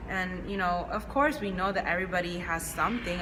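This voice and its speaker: Over noticeable background noise, a woman speaks at a very fast pace in a fairly low pitch. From Chinese household upbringing. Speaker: podcast co-host. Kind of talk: casual chat.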